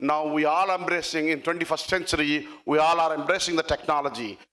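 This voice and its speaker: A man speaks at a high pitch with a bright, sharp tone. His pace is fairly quick. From India, Andhra Pradesh. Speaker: tech executive. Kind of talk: conference speech. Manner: halting.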